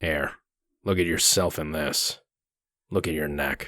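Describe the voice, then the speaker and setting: Speaking in a put-on character voice, a man sounds raspy and very deep, low in pitch. He moves at a fairly slow pace. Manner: stern, threatening.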